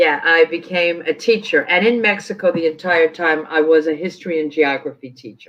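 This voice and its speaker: A woman with a New York accent and a fairly low pitch talks at a moderate pace with ordinary pitch variation and hardly any pauses. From New York City, Queens. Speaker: sports team community relations executive. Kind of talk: interview conversation.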